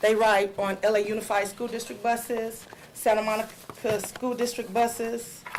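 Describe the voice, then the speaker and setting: Noticeable background noise sits behind a woman speaking at a moderate pace. Her pitch is fairly high. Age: 40s. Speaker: school bus driver. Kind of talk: public comment at board meeting. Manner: loud when nervous.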